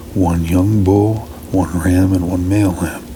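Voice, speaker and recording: A man speaks at a moderate pace with a very deep, low pitch. Noticeable background noise runs behind him. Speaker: Bible reader, ASMR channel host. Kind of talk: ASMR Bible reading, non-dramatized narration.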